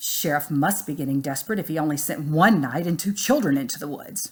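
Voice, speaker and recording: In a gruff, put-on character voice at middle pitch, the speaker talks at a fairly quick pace. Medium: read story.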